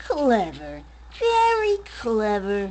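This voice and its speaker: Clear background noise sits behind a woman speaking at a fairly high pitch. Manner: mocking, sinister.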